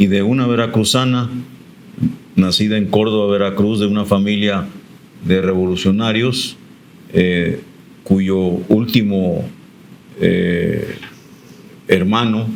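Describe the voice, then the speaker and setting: Amid audible room echo, a man with a fairly low pitch talks very slowly with fairly even intonation and long, frequent pauses. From Mexico, Guadalajara (Jalisco). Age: 80s+. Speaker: notary and law professor. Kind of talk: interview. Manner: halting, many repetitions.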